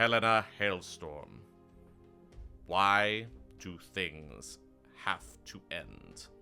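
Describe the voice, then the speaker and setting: In a put-on character voice, a man booms in a very deep, low, resonant register at a very slow pace. Long, frequent pauses break his speech while faint music plays in the background. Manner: ominous, grave.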